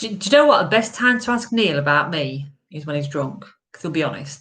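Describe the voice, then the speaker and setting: With an English accent, a woman talks at a moderate pace using lively intonation. Audible room echo surrounds her voice. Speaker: live-stream vlogger, golfer. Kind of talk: casual chat. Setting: home live stream. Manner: loud.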